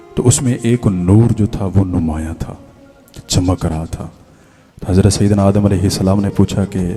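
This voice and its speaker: Over music in the background, a man speaks in a fairly low pitch with fairly even intonation. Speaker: Islamic scholar giving a sermon. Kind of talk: religious sermon (bayan) to an audience. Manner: emotional, preachy, heart-touching delivery.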